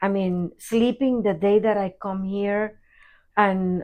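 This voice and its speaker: A woman speaks at a very slow pace. Her pitch is medium, with fairly even intonation. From Puerto Rico. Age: 70s. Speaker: therapist and physical therapy patient. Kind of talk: testimonial interview.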